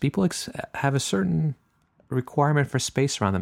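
The speaker has a French Canadian accent and lively intonation. The pace is moderate, and the sound is dry and close with no echo. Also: man. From French Canada. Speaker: podcast host and naturist park owner. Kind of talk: casual monologue. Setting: home, drinking wine.

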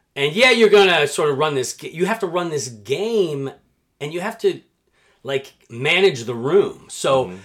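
Speaking at a moderate pace in an American accent, a man with a fairly high pitch makes very wide pitch swings and big swings in loudness. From New Jersey. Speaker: quizmaster and voiceover artist. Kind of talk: casual chat.

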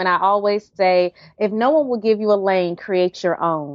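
With a North Carolina accent, a woman talks at a medium pitch. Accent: Southern US (North Carolina). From US South, North Carolina. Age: 30s. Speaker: writer and HIV awareness speaker. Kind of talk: interview, casual chat.

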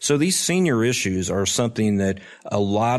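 A man with an Oklahoma accent against a quiet background. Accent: Oklahoma American. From Oklahoma, Tulsa. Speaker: state insurance commissioner. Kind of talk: interview. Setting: conference in Chicago. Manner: hesitant, many fillers.

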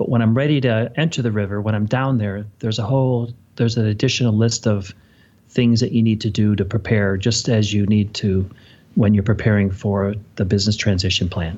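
A plain, everyday voice from a man, fairly low in pitch, at a fairly quick pace with fairly even intonation and very even loudness. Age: 50s. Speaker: financial advisor. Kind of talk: interview.

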